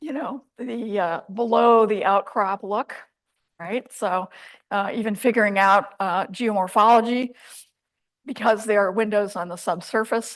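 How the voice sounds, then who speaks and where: Her voice fairly high, a woman speaks at a fairly slow pace with fairly even intonation. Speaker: scientist. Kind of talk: lecture. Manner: soft-spoken.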